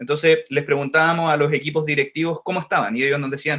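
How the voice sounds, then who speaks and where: A man speaks with a Chilean accent. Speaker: education technology organization director. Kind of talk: podcast interview. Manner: fast.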